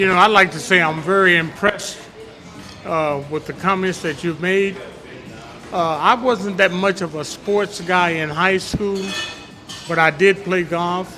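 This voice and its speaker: Fairly even intonation in an American accent at a fairly slow pace, with long, frequent pauses and music in the background. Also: man, high pitch for a man. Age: 80s+. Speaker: audience member at community panel. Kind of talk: public comment at a community forum. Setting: bistro with live audience.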